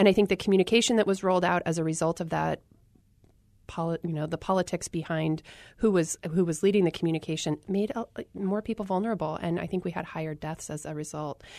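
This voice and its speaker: A woman talks very fast in a General American accent, with fairly even intonation. The sound is dry and close with no echo, over a quiet background. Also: fairly low pitch for a woman. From Arizona. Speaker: public health worker and author. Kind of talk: interview.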